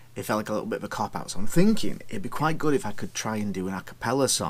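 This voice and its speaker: A man with a northern English accent. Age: 40s. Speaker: singer-songwriter. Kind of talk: vlog.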